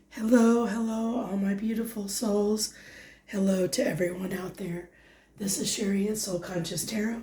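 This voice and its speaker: Speech comes at a moderate pace. Audible room echo and noticeable background noise are present. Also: woman, medium pitch for a woman. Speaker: tarot reader. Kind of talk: tarot reading monologue. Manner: halting.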